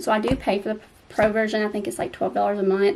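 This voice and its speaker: This woman has a Southern US accent. Her voice is fairly high. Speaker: romance author and YouTuber. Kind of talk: advice vlog. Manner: casual with filler ums.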